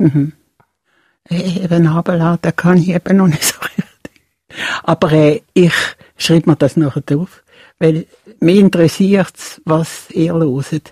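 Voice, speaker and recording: A woman with a fairly low pitch and a dark, mellow tone speaks very slowly, somewhat breathy, with long, frequent pauses. Her intonation is fairly even and her loudness very even. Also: dry, close sound with no echo. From Switzerland, Basel. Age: 70s. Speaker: retired puppeteer. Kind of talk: casual chat. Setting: studio.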